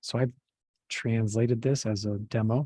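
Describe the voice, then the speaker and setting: In a very clean recording with a silent background and a dry, close sound with no echo, a man speaks at a fairly slow pace in a dark, mellow tone that is somewhat breathy. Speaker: software trainer. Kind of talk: tutorial.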